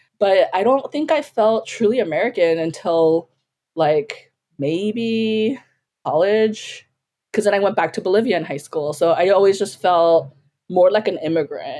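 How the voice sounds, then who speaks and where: Her tone is dark and mellow, and this woman speaks at a medium pitch. She moves at a fairly slow pace with lively intonation. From US, raised in Korean household after early childhood in South America. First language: Korean. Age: 40s. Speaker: filmmaker, podcast guest. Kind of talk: casual chat.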